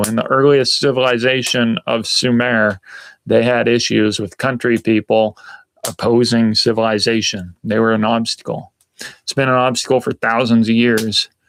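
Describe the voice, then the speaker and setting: The sound is dry and close with no echo as a man with an American accent speaks at a medium pitch. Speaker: outdoor lifestyle vlogger. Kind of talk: casual live stream chat. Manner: hesitant, many fillers.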